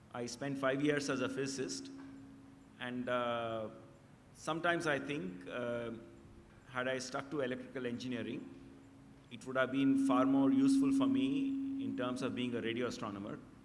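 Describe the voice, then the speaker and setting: A man speaks with long, frequent pauses. Audible room echo surrounds his voice. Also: moderate pace. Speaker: radio astronomer. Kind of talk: interview. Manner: halting.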